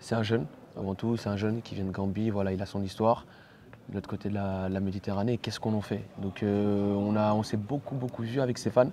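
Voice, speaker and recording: Speaking at a fairly quick pace, a man has a dark, mellow tone and monotone, flat intonation. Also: fairly low pitch for a man. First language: Pulaar (speaking French). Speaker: actor. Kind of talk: interview. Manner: halting.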